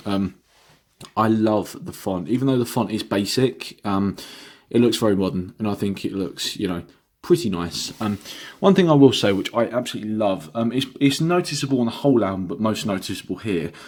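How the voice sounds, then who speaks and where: In a very clean recording with a silent background, a man with an English accent talks at a fairly quick pace with lively intonation. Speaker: vinyl record reviewer. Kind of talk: product review vlog. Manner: halting, many fillers.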